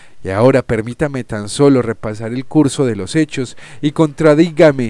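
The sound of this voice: The voice reads without strain. Its pitch rises and falls in an ordinary way.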